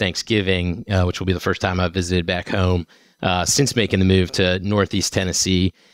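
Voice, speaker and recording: Against a quiet background, a man with a very deep, low pitch speaks at a moderate pace in a dry sound with no echo. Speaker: guest. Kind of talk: interview answer.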